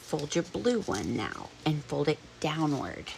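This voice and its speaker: At a very slow pace, a woman talks with an American accent. Noticeable background noise can be heard. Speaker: crafts tutorial maker. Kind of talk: tutorial. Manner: casual, chatty.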